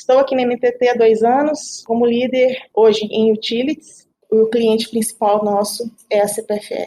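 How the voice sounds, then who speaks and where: A woman's fairly high-pitched, dark, mellow voice, monotone and flat, with hardly any pauses. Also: moderate pace. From Belo Horizonte, Minas Gerais, Brazil. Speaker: IT team leader. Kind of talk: podcast panel self-introduction.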